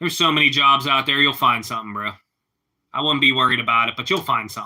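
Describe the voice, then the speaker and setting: This speaker talks at a fairly quick pace with a Pittsburgh accent. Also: man. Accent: Pittsburghese. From Pittsburgh, Pennsylvania. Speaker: live streamer. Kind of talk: casual chat.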